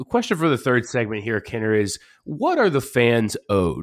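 A man with an American accent uses a normal speaking voice at a medium pitch with lively intonation, in a very clean, dry, close recording with a silent background and no echo. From Pittsburgh, Pennsylvania. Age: 30s. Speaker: sports radio host. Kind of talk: casual sports talk.

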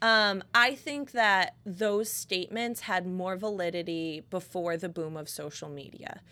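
A woman's plain, everyday voice at medium pitch, fairly slow with hardly any pauses, ordinary pitch variation and big swings in loudness, on a very clean recording with a silent background. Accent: American. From Connecticut. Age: 20s. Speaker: podcast host, salon owner. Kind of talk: casual chat. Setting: studio.

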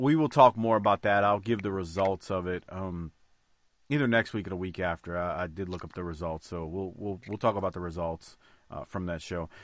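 In a very clean recording with a silent background, a man speaks with a relaxed tone and a very deep, low pitch. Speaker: podcast host. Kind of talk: casual podcast chat recapping wrestling episode. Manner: profane, relaxed banter.

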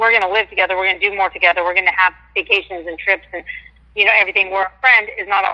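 A woman's very fast, flat, monotone speech at a medium pitch, in a dry, close sound with no echo. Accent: American. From Washington State. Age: 50s. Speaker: caller. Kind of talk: call-in radio chat.

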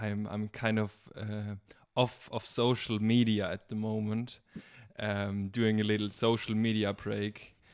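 A man with a German accent speaks at a fairly slow pace. His pitch sits fairly low, and his intonation stays monotone and flat. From Germany, Bavaria. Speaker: gap-year volunteer and garden helper. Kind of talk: casual chat. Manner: halting.

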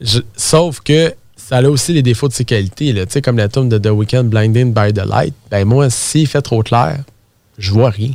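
In a Quebec accent, a man speaks fairly slowly at a medium pitch with ordinary pitch variation. The recording is very clean with a silent background. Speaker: real estate entrepreneur. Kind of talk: casual interview chat. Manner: animated.

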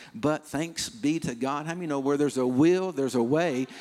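A man speaks in a normal speaking voice with fairly high pitch and ordinary pitch variation, recorded very cleanly against a silent background. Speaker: missionary pastor. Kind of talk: sermon.

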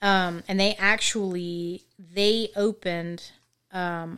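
A woman talks in a fairly low voice with ordinary pitch variation. The recording is very clean, with a silent background. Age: 30s. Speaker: returning podcast guest. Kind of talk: casual chat.

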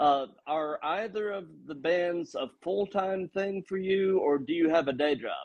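Pitched high, a man talks fairly slowly with ordinary pitch variation. He hardly pauses at all. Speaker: podcast host. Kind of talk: casual interview.

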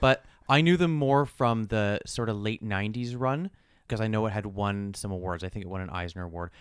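On a very clean recording with a silent background, a man in an ordinary speaking voice talks at a fairly quick pace with a fairly low pitch and ordinary pitch variation. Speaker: podcast co-host. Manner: joking, bantering.

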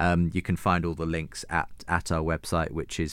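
A man with a British accent and a very deep, low pitch, at a moderate pace. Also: very clean recording, silent background. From UK. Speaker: radio and podcast host. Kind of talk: interview. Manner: halting.

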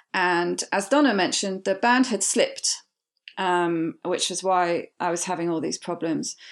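In a British accent, a woman talks at a moderate pace and a medium pitch with ordinary pitch variation against a quiet background. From Britain. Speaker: weight loss surgery patient. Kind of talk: personal testimony.

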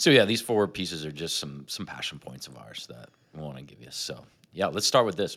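With vocal fry and lively intonation, a man speaks in a very deep, low pitch. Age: 40s. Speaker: podcast co-host. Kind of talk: casual chat.

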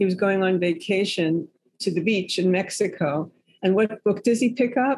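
Speaking at a moderate pace with an American accent, a woman uses a medium, somewhat breathy voice with ordinary pitch variation and very even loudness. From New York City. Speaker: author. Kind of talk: casual interview chat.

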